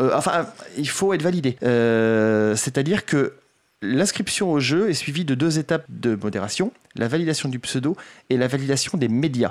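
On a very clean recording with a silent background, a man speaks in an unremarkable speaking voice, fairly high, with lively intonation, very even loudness and a moderate pace. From France, Poitiers. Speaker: game developer, association president. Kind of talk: radio interview. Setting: radio studio.

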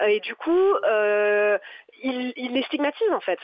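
A woman draws out her words at a very slow pace in a high pitch. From western France, Nantes. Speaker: secondary school French teacher. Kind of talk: radio interview. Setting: phone call. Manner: hesitant.

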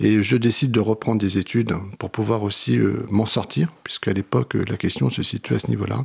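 A man's fairly low voice with vocal fry and very wide pitch swings, dry and close with no echo. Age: 50s. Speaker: social work trainer and author. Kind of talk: radio interview.

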